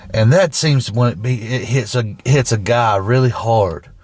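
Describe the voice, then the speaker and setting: A man speaks at a fairly slow pace with a Southern US accent. His pitch is medium, with ordinary variation. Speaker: truck driver, podcast co-host. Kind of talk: casual chat. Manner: halting, repetitive.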